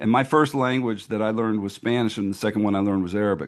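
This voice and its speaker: This man has an unremarkable speaking voice pitched fairly low. His intonation stays fairly even. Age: 60s. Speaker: literacy nonprofit founder. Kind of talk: interview. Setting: podcast interview. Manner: conversational with frequent fillers.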